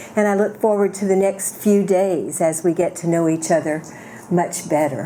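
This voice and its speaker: A woman talks at a medium pitch amid noticeable background noise. Audible room echo is present too. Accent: American. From US South. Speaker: keynote speaker. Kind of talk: reading prepared lecture.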